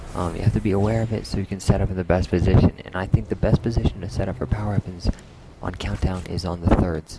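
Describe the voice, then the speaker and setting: Over music in the background, a man speaks quietly at a very fast pace with a very deep, low pitch. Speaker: gameplay commentator. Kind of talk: gameplay commentary. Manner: casual, filler-heavy.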